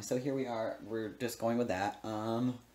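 The man's tone is dark and mellow. He talks at a moderate pace. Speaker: food vlogger. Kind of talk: casual vlog chat. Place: kitchen.

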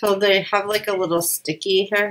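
A woman speaks at a moderate pace in a fairly bright tone, with little pitch movement.

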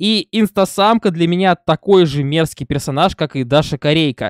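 A man's high-pitched voice at a moderate pace with ordinary pitch variation, dry with no echo, over a quiet background. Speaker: reaction video host. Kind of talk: casual vlog chat. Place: home room. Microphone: studio mic.

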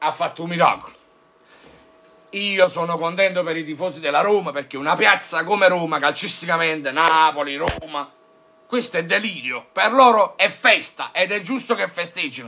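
The man's voice is animated and high-pitched. He keeps a moderate pace. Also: ordinary pitch variation. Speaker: football YouTuber, Juventus fan; football YouTuber. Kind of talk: fan rant. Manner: animated, exasperated. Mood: mocking, sarcastic. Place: home room.

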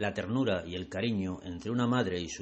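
Talking at a fairly quick pace, a man has an ordinary speaking voice with ordinary pitch variation. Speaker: art guide and video channel creator. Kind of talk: guided museum tour narration, art-history explanation. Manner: measured, didactic, formal; clear, even-paced, expository.

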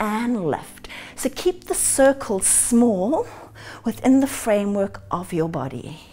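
The speaker goes at a very slow pace with very wide pitch swings. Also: woman. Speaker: fitness instructor. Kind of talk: workout instruction. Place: home room.

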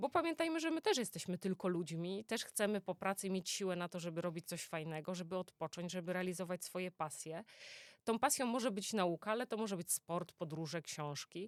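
A woman's medium-pitched, fairly quick delivery, an unremarkable speaking voice with ordinary pitch variation, dry and close with no echo on a very clean recording with a silent background. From Poland, Greater Poland (Poznań). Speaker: oncologist. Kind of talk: interview. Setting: studio.

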